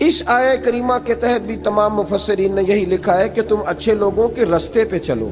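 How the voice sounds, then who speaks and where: Music plays in the background as a man speaks. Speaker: Islamic scholar giving a religious sermon. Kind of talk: religious sermon (bayan).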